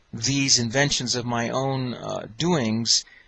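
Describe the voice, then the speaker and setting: A man's medium-pitched, flat monotone over noticeable background noise. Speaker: electrical engineer giving a testimonial. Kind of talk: testimony. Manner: fast; halting with many fillers.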